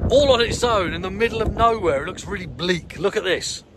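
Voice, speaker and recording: A man speaks at a moderate pace. The sound is dry with no echo, and background noise is noticeable. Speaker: vlogger. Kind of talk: casual vlog chat. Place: forest. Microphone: phone near.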